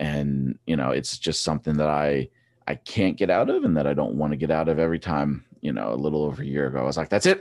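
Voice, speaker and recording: A very fast-talking man with a Pennsylvania accent, very deep, low pitch, vocal fry and fairly even intonation. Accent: Pennsylvania American. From eastern Pennsylvania. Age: 30s. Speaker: former track cyclist and coach. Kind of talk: casual interview.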